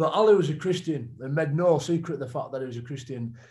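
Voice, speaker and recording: The voice is somewhat breathy, with a Yorkshire accent and ordinary pitch variation, over a quiet background. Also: man. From northern England. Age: 30s. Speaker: retired rugby league player. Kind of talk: testimony. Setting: video call. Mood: reflective, earnest faith talk. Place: home room. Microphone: video call.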